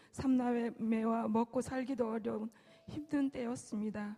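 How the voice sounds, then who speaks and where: Noticeable background noise runs under a woman's voice. She speaks at a fairly high pitch and a fairly slow pace. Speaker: church deaconess. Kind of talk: testimony.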